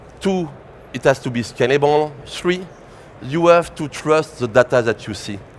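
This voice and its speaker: With a French accent, a man speaks at a fairly high pitch and moderate pace, his loudness swinging widely. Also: ordinary pitch variation. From France. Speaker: tech company presenter. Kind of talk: conference presentation.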